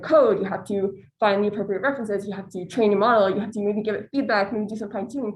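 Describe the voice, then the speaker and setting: Her voice is somewhat breathy and fairly high in pitch. She speaks with fairly even intonation. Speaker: student presenter. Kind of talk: academic presentation.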